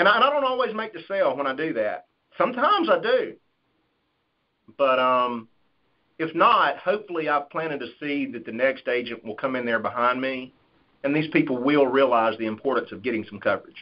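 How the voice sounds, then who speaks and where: With a Southern US accent, a man speaks at a fairly quick pace and swings his pitch very widely. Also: fairly high pitch for a man. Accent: Southern twang. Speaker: life insurance sales agent. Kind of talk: conference call Q&A. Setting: phone call.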